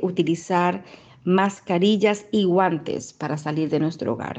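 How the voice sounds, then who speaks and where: This woman has a normal speaking voice. Her pitch is medium, with ordinary pitch variation. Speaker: Costa Rican living abroad. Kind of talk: testimony.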